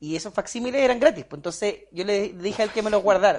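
This man's voice is high in pitch. He talks at a very fast pace. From Chile, Puerto Montt. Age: 30s. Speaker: business manager. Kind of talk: personal life story interview.

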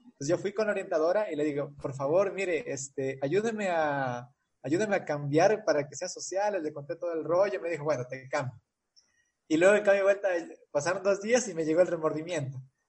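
High pitch from a man, fairly quick pace and ordinary pitch variation. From Ecuador. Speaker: civil engineer. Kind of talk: interview. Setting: video call.

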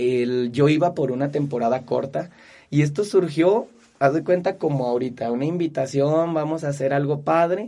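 A man with an unremarkable speaking voice, fairly high pitch, ordinary pitch variation and a moderate pace. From Mexico, Zacatecas. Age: 30s. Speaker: kung fu instructor. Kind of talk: interview conversation.

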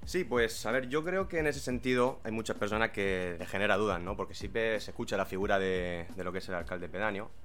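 Talking at a fairly quick pace with hardly any pauses, a man with a normal speaking voice uses lively intonation at a fairly low pitch. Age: 20s. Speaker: former local mayor and English teacher. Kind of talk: interview. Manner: formal.

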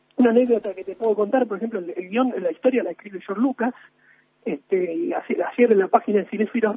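The speaker is a man with an extremely high pitch. His intonation is lively. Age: 30s. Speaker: film enthusiast. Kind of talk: radio interview. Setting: remote call from home.

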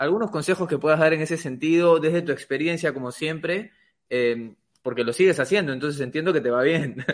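Talking at a fairly quick pace, a man uses a fairly high pitch with ordinary pitch variation. The background is quiet. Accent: Peruvian. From Peru. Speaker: podcast co-host. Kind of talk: podcast interview. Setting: studio.

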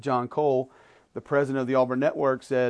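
Against a quiet background, a man of medium pitch speaks with an Alabama accent. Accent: Southern US (Alabama). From Birmingham, Alabama (Homewood). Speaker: college football analyst and sports radio host. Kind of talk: casual interview conversation. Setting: radio studio.

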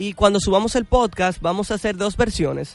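The man's pitch shows ordinary variation. He keeps a moderate pace. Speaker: radio host. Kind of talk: radio talk show.

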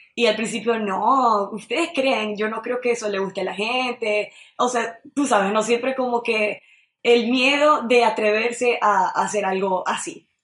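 In an unremarkable speaking voice, a woman talks at a fairly slow pace and fairly high pitch with fairly even intonation. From Venezuela, Maracaibo (Zulia). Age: 20s. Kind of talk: radio interview.

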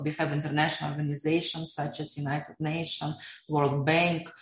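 A woman with a Russian accent, a very deep, low pitch and fairly even intonation. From Russia, Siberia. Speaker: economist and blockchain entrepreneur. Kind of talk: interview.

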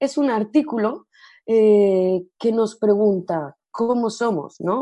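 The woman's tone is dark and mellow, and the background is quiet. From Spain, Almería (Andalusia). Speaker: Spanish language teacher. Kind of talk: podcast segment presentation.

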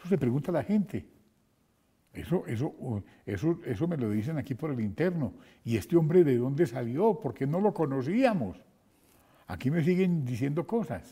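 A man with a fairly high pitch speaks at a moderate pace, leaving long, frequent pauses. His pitch swings very widely, and his tone is dark, mellow and somewhat breathy. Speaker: radio host. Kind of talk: interview. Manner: halting.

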